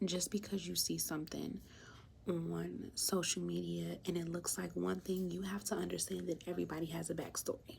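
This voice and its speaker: Soft-spoken, the woman talks at a moderate pace. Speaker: vlogger. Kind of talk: casual talk to camera. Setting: at her workplace. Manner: animated.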